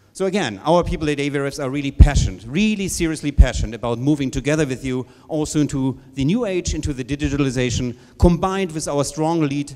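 With ordinary pitch variation, a man speaks fairly quickly while the background stays quiet. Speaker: company executive host. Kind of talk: welcome speech. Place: hall. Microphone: handheld.

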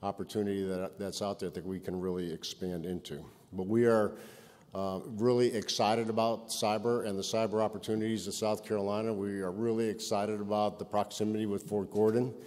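A man with a fairly low pitch talks fairly quickly in a monotone, flat intonation. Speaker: keynote speaker. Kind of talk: keynote speech. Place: hall.

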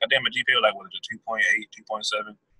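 A man talks at a moderate pace. The sound is dry and close, without echo. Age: 20s. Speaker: author. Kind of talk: interview. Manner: halting.

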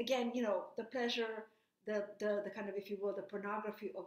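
A woman with a non-native accent, fairly high pitch, fairly even intonation and a moderate pace, plus audible room echo. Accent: noticeable foreign. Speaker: invited lecturer giving a remote talk. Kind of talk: lecture. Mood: grave, earnest.

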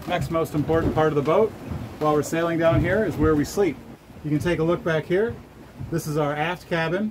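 There is light background noise as a man speaks at a fairly quick pace. His voice is somewhat breathy, with ordinary pitch variation. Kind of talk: casual vlog chat. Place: boat. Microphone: phone near.

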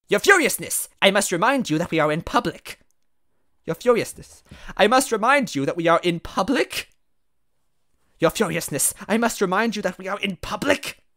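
A man's put-on character voice, high and bright with a sharp tone, lively intonation and a moderate pace, in a very clean recording with a silent background

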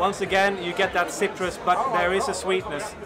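Loud background noise surrounds a man who speaks at a moderate speed. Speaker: snus reviewer. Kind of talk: casual review commentary. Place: home room.

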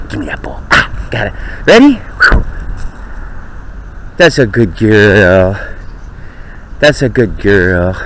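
A man whispering at a very slow pace, with long, frequent pauses and big swings in loudness, dry sound with no echo and light background noise. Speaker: dog owner. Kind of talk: casual talk while playing with dog. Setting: outdoors, body-worn pen camera mic. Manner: whispering or normal talking. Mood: playful, affectionate. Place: garden. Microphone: phone near.

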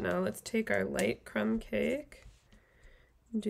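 Very slowly, a woman talks while light noise sits in the background. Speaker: craft video host. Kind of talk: tutorial. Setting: live stream at home. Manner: casual, friendly, filler words.

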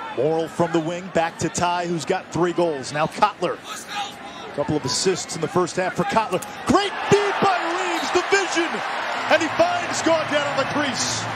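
A man at a moderate pace, over noticeable background noise. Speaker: play-by-play announcer. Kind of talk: live play-by-play lacrosse commentary. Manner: clipped, staccato name-and-action phrasing.

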